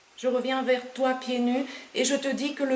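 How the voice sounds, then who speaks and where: The speaker has a Romanian accent, with noticeable background noise and audible room echo. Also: woman. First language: Romanian (speaking French). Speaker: poet. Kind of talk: poetry reading; author talk.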